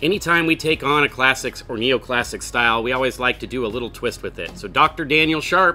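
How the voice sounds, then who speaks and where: Faint music runs in the background. Over it, a man talks with ordinary pitch variation. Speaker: brewery host. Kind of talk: beer tasting presentation. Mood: friendly, upbeat. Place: garden.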